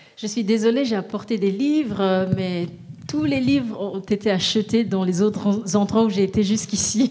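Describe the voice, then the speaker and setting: Noticeable background noise is present throughout. Over it, a woman speaks at a moderate pace. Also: medium pitch for a woman, ordinary pitch variation. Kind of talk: consecutive interpreting of a sermon into French. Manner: echoing the preacher, steady and fervent, a beat behind.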